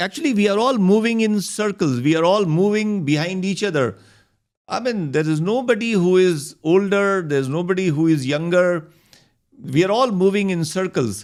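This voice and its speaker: A man speaks at a moderate pace in a high voice with lively intonation, recorded very cleanly against a silent background. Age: 60s. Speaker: doctor and health speaker. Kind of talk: interview conversation. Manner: hesitant, with frequent fillers.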